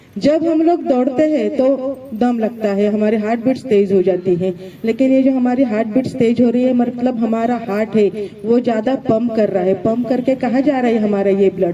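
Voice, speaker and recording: A woman with a non-native accent speaks at a fairly high pitch with ordinary pitch variation and very even loudness, over noticeable background noise. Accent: non-native Hindi. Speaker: gynecologist giving motivational speech. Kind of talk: motivational speech.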